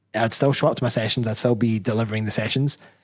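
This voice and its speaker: A man with a Scottish accent mumbles at a very fast pace. His pitch sits in the middle range, and his intonation stays fairly even. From Scotland. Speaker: bodybuilder and personal trainer. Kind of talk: live show interview. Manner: mumbling.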